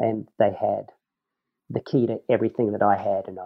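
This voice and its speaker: A moderate pace in a New Zealand accent. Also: man. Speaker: professional snowboarder. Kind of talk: casual interview chat. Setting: remote recording with poor mic.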